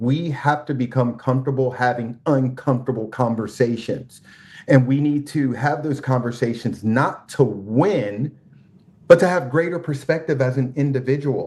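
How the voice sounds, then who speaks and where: At a moderate pace, a man speaks in a somewhat breathy, medium-pitched voice with fairly even intonation. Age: 40s. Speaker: podcast guest. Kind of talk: casual conversation.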